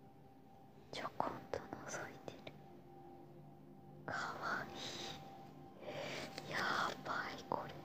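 Soft-spoken whispering comes at a very slow pace against noticeable background noise. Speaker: stationery haul vlogger. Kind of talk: casual haul show-and-tell. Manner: soft whispered ASMR commentary. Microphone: phone near.

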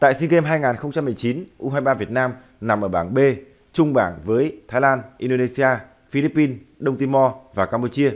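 Speaking at a fairly slow pace, a man with an unremarkable speaking voice keeps a medium pitch and ordinary pitch variation in a very clean recording with a silent background. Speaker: football news presenter. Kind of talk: news reading. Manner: formal.

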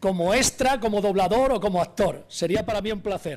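A man with a high voice talks at a moderate pace. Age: 50s. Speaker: sports radio journalist. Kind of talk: live radio speech. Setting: council chamber, live broadcast. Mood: warm, smiling at times. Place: hall. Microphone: podium.

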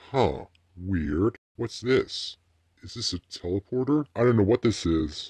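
A man's put-on character voice, fairly low in pitch, at a fairly slow pace against a quiet background. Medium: dub. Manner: playful, casual.

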